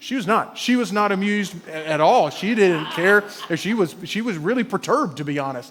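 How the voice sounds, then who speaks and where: A man with an Alabama accent talks in a high pitch with lively intonation and an animated tone. His pace is fairly quick with hardly any pauses, over noticeable background noise. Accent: Southern US (Alabama). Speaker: pastor. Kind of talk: sermon. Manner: animated storytelling.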